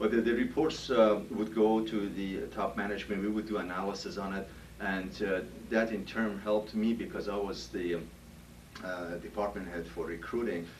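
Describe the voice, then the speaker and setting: Audible room echo surrounds a man whose pitch is fairly low and whose intonation is fairly even. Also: moderate pace. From Iran. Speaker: HR director. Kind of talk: job interview. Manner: halting, many fillers.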